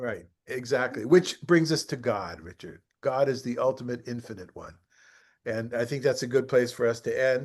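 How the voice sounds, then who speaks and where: Against a quiet background, a man with a normal speaking voice talks at a medium pitch with ordinary pitch variation and big swings in loudness. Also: moderate pace. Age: 60s. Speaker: rabbi teaching a study group. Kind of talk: online study class.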